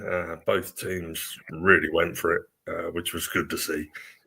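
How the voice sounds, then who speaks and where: A man speaks quietly at a moderate pace. The recording is very clean, with a silent background. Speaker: football fan guest. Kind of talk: casual chat. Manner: quiet, keeping voice down.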